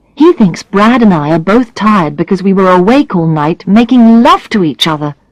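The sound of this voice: Lively intonation in an unforced reading voice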